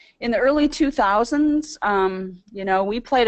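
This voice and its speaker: Against a quiet background, a woman speaks at a moderate pace with lively intonation. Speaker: medical society staff presenter. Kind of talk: webinar presentation. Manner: hesitant, many fillers.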